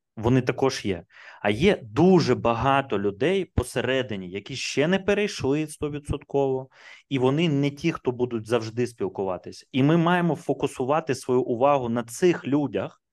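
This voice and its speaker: Medium-pitched male voice at a moderate pace, lively intonation, quiet background. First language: Russian (speaking Ukrainian). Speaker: IT entrepreneur. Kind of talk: casual chat.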